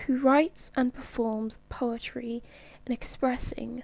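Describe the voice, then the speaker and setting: Soft-spoken, the voice moves along at a fairly slow pace. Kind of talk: ASMR soft-spoken book review.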